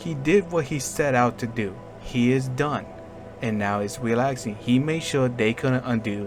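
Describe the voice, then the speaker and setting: Music plays in the background as a man speaks at a fairly slow pace. His voice is medium-pitched, with ordinary pitch variation. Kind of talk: casual video commentary.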